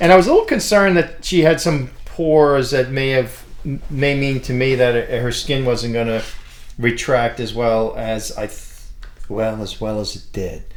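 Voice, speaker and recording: A man speaks at a medium pitch and a moderate pace. His loudness swings widely while his pitch varies in an ordinary way. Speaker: plastic surgeon. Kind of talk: casual chat. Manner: animated.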